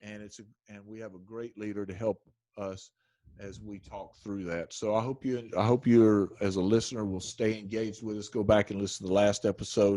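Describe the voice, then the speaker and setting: In a very clean recording with a silent background, a man with an American accent speaks in a fairly low voice with a dark, mellow tone and monotone, flat intonation. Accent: Southern drawl, stronger around family. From US South, rural. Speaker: podcast host, church leadership. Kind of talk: casual podcast interview. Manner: halting, many restarts.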